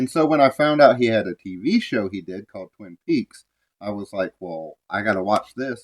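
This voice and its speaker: At a moderate pace, a man with an unremarkable speaking voice talks at medium pitch with lively intonation and big swings in loudness, the sound dry and close with no echo. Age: 30s. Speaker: podcast co-host. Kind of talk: casual chat. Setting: at home, mother's house.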